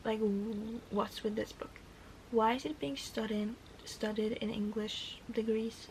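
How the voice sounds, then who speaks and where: A woman with a fairly high voice speaks at a fairly slow pace and in a fairly even tone over noticeable background noise. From Norway. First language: Norwegian. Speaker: book vlogger. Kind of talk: casual vlog talk to camera.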